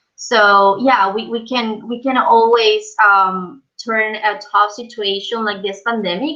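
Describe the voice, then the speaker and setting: A woman speaks at a fairly slow pace. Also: hardly any pauses. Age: 20s. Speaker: hospitality professional. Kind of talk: webinar panel discussion. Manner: halting, many fillers.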